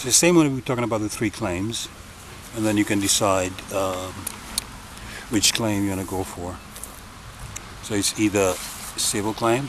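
In a dry recording with no echo but noticeable background noise, a man speaks at a moderate pace and a fairly low pitch with ordinary variation. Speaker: self-styled legal commentator. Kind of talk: casual explanatory talk. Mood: dismissive of courts. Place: open country. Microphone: phone near.

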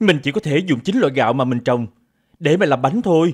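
A man with a fairly high pitch speaks in an animated, theatrical tone with lively intonation, in a very clean recording with a silent background. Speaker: voice actor playing characters. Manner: animated, theatrical, shifting into royal and princely character voices.

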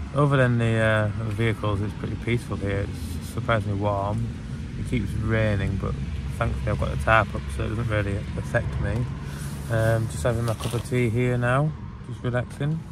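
Music plays in the background as a man talks at a moderate pace, the sound dry with no echo. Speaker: camping vlogger. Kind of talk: casual vlog chat. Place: tent. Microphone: phone near.

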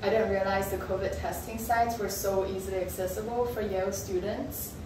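Her pitch sits in the middle range, with ordinary rises and falls. Behind her, background noise is noticeable and the room echoes audibly. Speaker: architecture graduate student and video creator. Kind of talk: casual talk to camera. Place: home room. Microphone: camera far.

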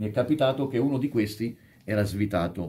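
A man speaks with a dark, mellow, somewhat breathy tone and ordinary pitch variation. There is light background noise. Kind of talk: tutorial. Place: workshop. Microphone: phone near.

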